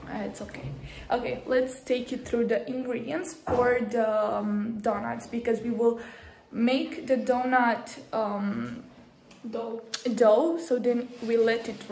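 A woman at a very slow pace with fairly even intonation, audible room echo and light background noise. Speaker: vlogger. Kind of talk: casual vlog chat. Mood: playful, laughing. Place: kitchen. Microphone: phone near.

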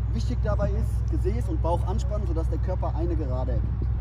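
Over loud background noise, a man's speech moves at a moderate pace. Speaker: fitness trainer. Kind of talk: tutorial. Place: stadium.

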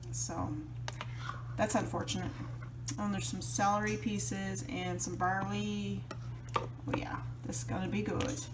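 The speech moves at a moderate pace, broken by long, frequent pauses. Background noise is noticeable throughout. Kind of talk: casual vlog chat. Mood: pleased, relaxed. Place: kitchen. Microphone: phone near.

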